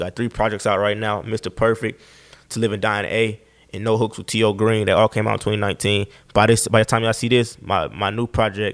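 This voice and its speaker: A man with an Atlanta accent, monotone and flat, at a fairly quick pace on a very clean recording with a silent background. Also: fairly low pitch for a man. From Atlanta, US South. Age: 20s. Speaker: rapper. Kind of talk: casual interview chat.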